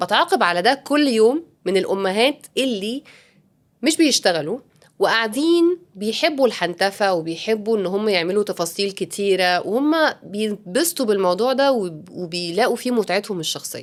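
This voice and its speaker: On a very clean recording with a silent background, a woman of medium pitch talks at a moderate pace, her pitch swinging very widely. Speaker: podcast host, working mother. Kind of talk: casual improvised monologue. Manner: halting, self-correcting; code-switching with English.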